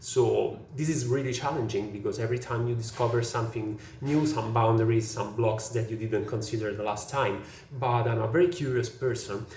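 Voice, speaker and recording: Noticeable background noise and audible room echo surround this man's voice. He talks at a moderate pace with a medium pitch and ordinary pitch variation. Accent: Italian. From Italy. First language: Italian. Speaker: software engineer. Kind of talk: prepared presentation. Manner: halting, many fillers.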